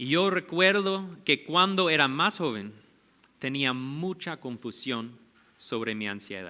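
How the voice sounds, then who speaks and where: A man speaks very slowly at a fairly high pitch. His pitch swings very widely. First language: not Spanish (speaking Spanish). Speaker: pastor. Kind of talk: sermon.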